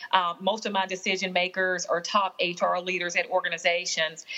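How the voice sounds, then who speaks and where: A woman with a Southern US accent. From Alabama, US South. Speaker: workplace consultant and author. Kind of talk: casual interview chat. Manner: warm, comforting delivery.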